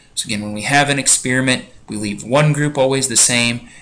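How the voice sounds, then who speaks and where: A man's very fast speech with fairly even intonation and audible room echo. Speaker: biology teacher. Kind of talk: lecture. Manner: casual, conversational.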